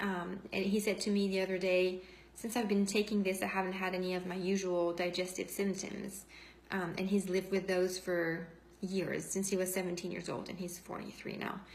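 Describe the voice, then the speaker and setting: A woman's medium-pitched, monotone, flat delivery at a moderate pace, with audible room echo and noticeable background noise. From France. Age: 40s. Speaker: essential oils seller and former nurse. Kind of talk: testimony. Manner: spontaneous, unscripted.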